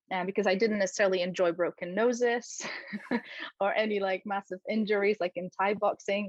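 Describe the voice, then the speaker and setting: A woman with a Polish accent talks at a fairly quick pace and medium pitch. Her intonation is fairly even, and the sound is dry and close with no echo. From Poland. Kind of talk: interview.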